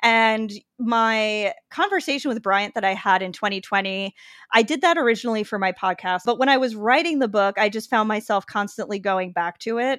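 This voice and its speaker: On a very clean recording with a silent background, a woman speaks at a moderate pace in an ordinary speaking voice. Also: fairly high pitch for a woman, ordinary pitch variation. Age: 30s. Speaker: food writer. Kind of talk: interview conversation.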